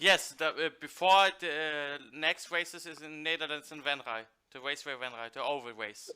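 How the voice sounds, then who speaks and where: At a moderate pace, a man with a fairly high pitch and a bright, sharp tone shows ordinary pitch variation and big swings in loudness. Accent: German. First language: German. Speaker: talk show host. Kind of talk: interview.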